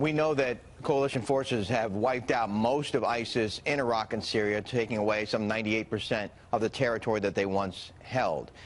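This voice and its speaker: Fairly quick and with hardly any pauses, a man talks in an unremarkable speaking voice at medium pitch, his loudness very even and his intonation fairly even. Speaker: news anchor. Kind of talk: TV news interview questions.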